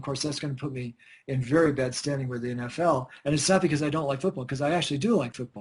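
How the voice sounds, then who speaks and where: A man's somewhat breathy, fairly high-pitched voice at a very fast pace, with ordinary pitch variation. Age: 60s. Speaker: scientist and researcher. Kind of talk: radio interview.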